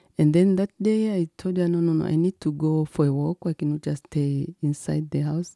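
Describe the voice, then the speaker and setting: A woman with a Tanzanian accent speaks at a moderate pace with hardly any pauses. Her tone is dark and mellow, her pitch very deep and low, and her intonation fairly even. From Tanzania, Kilimanjaro. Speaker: district commissioner and ministry founder. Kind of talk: interview.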